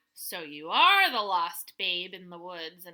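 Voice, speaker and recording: Putting on a character voice, a woman speaks at a medium pitch with fairly even intonation. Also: fairly slow pace. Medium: read story. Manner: announcing, eager.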